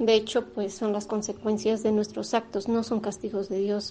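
Fairly high in pitch yet dark and mellow in tone, a woman speaks at a fairly slow pace with monotone, flat intonation. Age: 50s. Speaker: radio host. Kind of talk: radio talk, personal testimony. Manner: halting.

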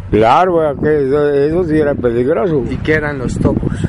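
Fairly slowly, a man talks while noticeable background noise carries on. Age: 80s+. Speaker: retired miner and farmer. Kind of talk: interview. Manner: halting.

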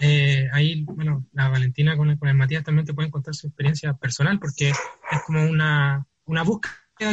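A man speaks with a Chilean accent. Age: young. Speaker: theatre artist. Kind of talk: interview. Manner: halting.

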